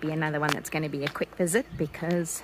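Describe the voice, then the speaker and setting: Against light background noise, a woman speaks in a very deep, low pitch with fairly even intonation. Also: dry sound with no echo. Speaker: travel vlogger. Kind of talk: casual vlog chat. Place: forest. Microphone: phone near.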